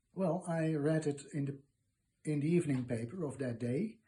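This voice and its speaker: In a Dutch accent, a man speaks at a moderate pace with a dark, mellow tone, somewhat breathy, with ordinary pitch variation. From Netherlands. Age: 70s. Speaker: retired archivist interviewee. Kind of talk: interview. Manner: halting, many fillers.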